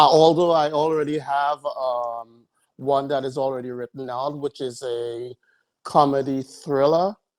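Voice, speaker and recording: Here a man speaks with a Caribbean accent. His pitch varies in an ordinary way. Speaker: podcast host. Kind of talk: casual chat.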